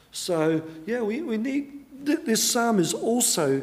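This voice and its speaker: An Australian man talks with very wide pitch swings. Audible room echo surrounds his voice. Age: 60s. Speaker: pastor. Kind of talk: sermon.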